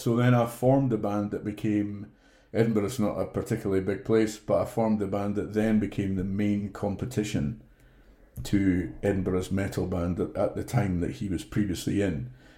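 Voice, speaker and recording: In a Scottish accent, a man speaks at a moderate pace with a fairly low pitch and a dark, mellow tone, on a very clean recording with a silent background. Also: ordinary pitch variation. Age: 40s. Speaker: theatre flyman and guest. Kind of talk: casual interview, storytelling.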